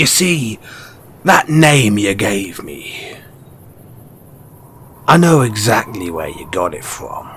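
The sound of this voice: Putting on a character voice, a man speaks slowly at a fairly low pitch, with big pitch swings and long, frequent pauses. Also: fairly bright tone.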